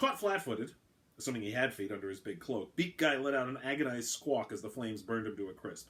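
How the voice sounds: The clip features a natural reading voice. Text is being read out in it.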